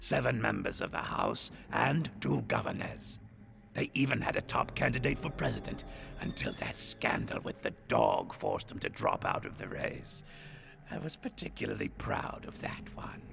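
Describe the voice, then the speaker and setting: This is a gruff, put-on character voice. Clear background noise sits behind it. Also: man. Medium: video game. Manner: gruff, profane.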